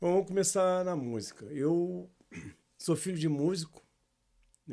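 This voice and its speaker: A man speaks in a dark, mellow, fairly high voice. His pace is fairly slow, with long, frequent pauses. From Brazil, Rio de Janeiro (Jardim Botânico). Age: 60s. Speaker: samba singer and songwriter. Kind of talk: casual interview chat.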